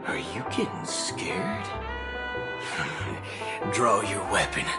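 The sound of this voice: Over loud music in the background, a man does a put-on character voice, low-pitched for a man, with lively intonation at a very slow pace.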